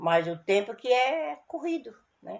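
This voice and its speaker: This woman's voice sits at a fairly high pitch. She uses lively intonation. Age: 60s. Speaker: interviewee, grandmother. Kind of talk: recorded testimony. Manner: halting.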